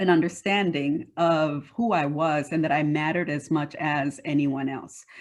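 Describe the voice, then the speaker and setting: A woman with a slight Panamanian accent speaks at a very slow pace. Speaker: diversity and workforce leader. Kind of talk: interview.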